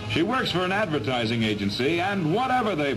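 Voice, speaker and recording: The speech moves at a fairly quick pace. Clear music plays in the background. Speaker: newsreel narrator. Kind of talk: 1940s newsreel narration. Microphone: old recording.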